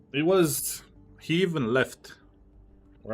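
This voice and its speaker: The speaker has an American accent and very wide pitch swings at a fairly slow pace. Music plays in the background. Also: man. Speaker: game streamer. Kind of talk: live gaming stream chat. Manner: casual, conversational.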